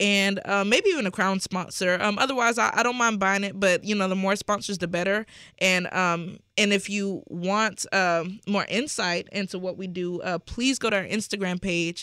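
At a moderate pace with hardly any pauses, a woman with a plain, everyday voice speaks at a medium pitch with fairly even intonation, in a very clean recording over a silent background. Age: 20s. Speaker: nonprofit founder. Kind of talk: interview.

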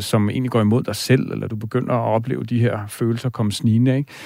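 A man's dark, mellow voice at medium pitch with ordinary pitch variation, on a very clean recording with a silent background. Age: 40s. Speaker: dream expert, radio host. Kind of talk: radio talk show, dream interpretation. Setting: radio studio.

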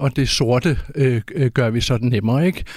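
This man has an ordinary speaking voice at a medium pitch. He talks at a moderate pace. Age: 50s. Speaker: author and climate researcher. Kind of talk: interview.

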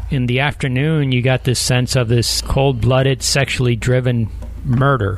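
A man speaks at a moderate pace with very even loudness. Noticeable background noise runs underneath. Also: medium pitch for a man. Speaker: justice reporter. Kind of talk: interview recounting court hearing. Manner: animated, conversational.

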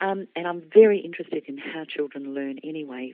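With an Australian accent, a woman speaks at a fairly low pitch and uses lively intonation. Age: 60s. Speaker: children's author. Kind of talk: interview.

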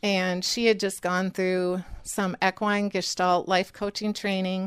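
Recorded very cleanly against a silent background, a woman with a Wisconsin accent speaks at a medium pitch. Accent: Upper Midwest (Wisconsin). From rural Wisconsin. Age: 50s. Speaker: creamery owner and dairy farmer. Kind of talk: interview. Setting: on location at her farm.

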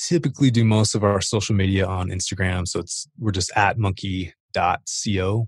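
Against a quiet background, a man's fairly low, somewhat breathy voice keeps fairly even intonation. The sound is dry and close, with no echo. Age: 30s. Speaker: fitness equipment entrepreneur. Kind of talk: casual chat.

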